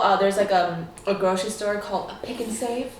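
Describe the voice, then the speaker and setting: An animated voice with an American accent at a moderate pace, with noticeable background noise and audible room echo. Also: woman. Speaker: YouTuber. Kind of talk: casual chat.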